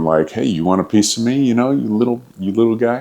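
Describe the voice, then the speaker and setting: Lively in intonation, a man speaks at a fairly quick pace. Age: 50s. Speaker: online fitness coach and trainer. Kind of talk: casual storytelling to camera.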